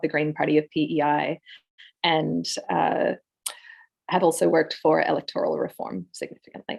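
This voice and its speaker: In an Australian accent, a woman talks over a quiet background. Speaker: political candidate. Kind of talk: candidate introduction.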